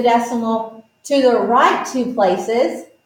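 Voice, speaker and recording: An animated tone comes through at a fairly slow pace, with audible room echo. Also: woman. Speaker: math teacher. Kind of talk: tutorial.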